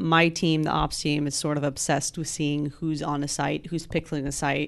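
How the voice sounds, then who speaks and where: A woman's very deep, low voice at a moderate pace, with ordinary pitch variation, over a quiet background. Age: 20s. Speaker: podcast host. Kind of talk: casual chat.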